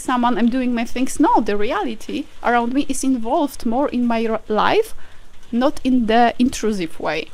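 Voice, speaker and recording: Over noticeable background noise, a woman speaks in a high voice at a fairly slow pace. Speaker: vlogger. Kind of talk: casual vlog monologue. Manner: hesitant with fillers.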